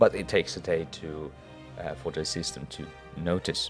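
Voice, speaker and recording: Music plays in the background as a man talks. His pace is fairly slow. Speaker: game mod developer. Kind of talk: casual screen-recorded devlog walkthrough.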